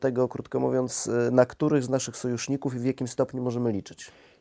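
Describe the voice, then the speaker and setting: A man with an unremarkable speaking voice and medium pitch talks at a fairly quick pace over a quiet background. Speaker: interviewer. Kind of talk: interview questions. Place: studio. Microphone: lapel.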